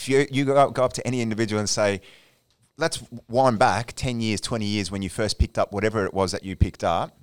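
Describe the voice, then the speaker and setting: A man talks at a very fast pace in an Australian accent. The sound is dry and close with no echo. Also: fairly low pitch for a man, ordinary pitch variation. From Australia, Melbourne. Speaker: addiction clinical services manager. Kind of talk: casual chat.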